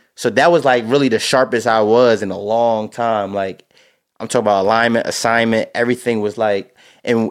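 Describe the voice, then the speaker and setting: The recording is very clean and the background silent. A man talks very fast. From New Jersey. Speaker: high school football coach. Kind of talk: casual chat. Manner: animated.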